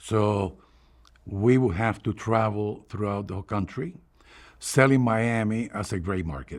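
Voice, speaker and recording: A man's fairly low voice with a Cuban accent at a fairly slow pace, ordinary pitch variation, on a very clean recording with a silent background. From Cuba, Havana. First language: Spanish. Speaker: retired newspaper advertising executive. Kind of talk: oral history interview. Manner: halting, with fillers and repetitions.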